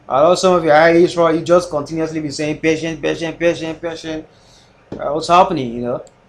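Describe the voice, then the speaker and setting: A man talks at a fairly quick pace, his pitch fairly high and his intonation monotone and flat. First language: not English. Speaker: forex trader live streamer. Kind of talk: live trading stream chat. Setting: live stream. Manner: casual, hesitant.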